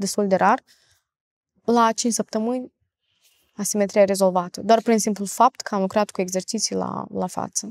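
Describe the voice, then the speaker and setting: A woman's fairly high voice comes in a monotone, flat intonation, the sound dry with no echo. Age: 20s. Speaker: facial exercise coach. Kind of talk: podcast interview. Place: studio.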